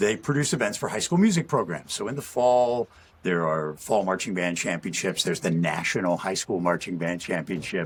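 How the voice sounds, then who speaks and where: A man's very deep, low voice with lively intonation over noticeable background noise. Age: 60s. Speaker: massage therapist and former announcer. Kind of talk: casual podcast interview.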